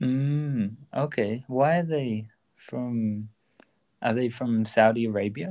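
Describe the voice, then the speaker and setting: A man with an Australian accent speaks very slowly at a medium pitch, his tone dark and mellow with ordinary pitch variation. His delivery is broken by long, frequent pauses. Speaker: podcast host, language learning. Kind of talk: casual bilingual conversation.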